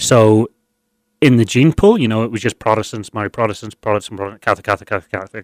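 A man with a Northern Irish accent speaks very fast in a fairly low pitch. His intonation stays fairly even, and the sound is dry and close with no echo. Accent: Northern Irish (Belfast). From Northern Ireland, Belfast. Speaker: guest sharing life story. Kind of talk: interview. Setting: studio.

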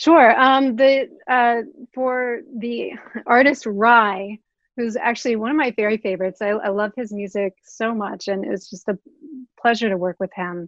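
A woman speaks with an American accent in a plain, everyday voice, her pitch fairly high. Her pace is moderate, and her pitch varies in an ordinary way. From Oklahoma. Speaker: record label creative director. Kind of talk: interview.

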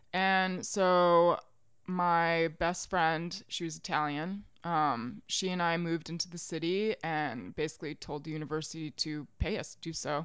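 A woman with an American accent and an ordinary speaking voice, at a fairly low pitch and a fairly slow pace, with fairly even intonation. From US South, Richmond, Virginia. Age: 30s. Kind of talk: casual chat.

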